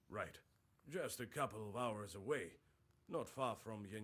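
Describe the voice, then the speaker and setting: Putting on a raspy character voice, a man speaks at a medium pitch and a moderate pace with ordinary pitch variation. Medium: video game. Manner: earnest, worried.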